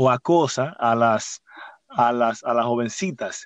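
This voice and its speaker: A man's medium-pitched voice at a very slow pace. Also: dry, close sound with no echo, quiet background. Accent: Dominican. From Dominican Republic, San Pedro de Macorís. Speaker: podcast host. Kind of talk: casual chat. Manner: halting.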